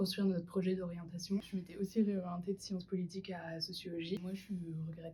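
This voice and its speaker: Speaking very fast, a woman with a medium pitch and a dark, mellow tone sounds somewhat breathy, her intonation monotone and flat. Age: 20s. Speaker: university student. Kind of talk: student testimony.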